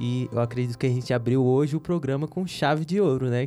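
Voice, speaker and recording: The man's dark, mellow tone moves at a fairly quick pace in a very clean recording with a silent background. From Upper Solimões, Amazonas, Brazil. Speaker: podcast host. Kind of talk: casual interview chat. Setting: studio.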